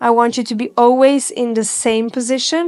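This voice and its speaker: A woman with a non-native accent speaks in a high-pitched voice. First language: not English. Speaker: Pilates instructor. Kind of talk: guided workout instruction. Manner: encouraging, instructive.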